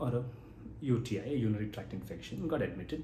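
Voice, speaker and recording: In a room with audible echo, a man talks at medium pitch and a fairly quick pace, with a dark, mellow tone, vocal fry and ordinary pitch variation. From Kerala, India. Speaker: geriatrician. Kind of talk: educational talk. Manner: conversational, some self-corrections.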